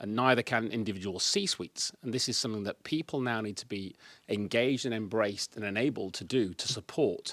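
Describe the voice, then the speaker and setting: Speaking at a fairly quick pace with a Yorkshire accent, a man with a fairly low pitch shows ordinary pitch variation in a dry, close sound with no echo. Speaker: speaker and consultant. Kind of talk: presentation. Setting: live meetup event with audience. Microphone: microphone without on button, checking audibility.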